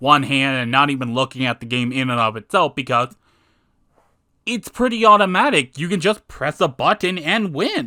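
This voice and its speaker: On a very clean recording with a silent background and a dry, close sound with no echo, a man speaks at a moderate pace with a fairly high pitch, a bright, sharp tone, and very wide pitch swings. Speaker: gaming video critic. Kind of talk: video game critique commentary. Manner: calmer than usual.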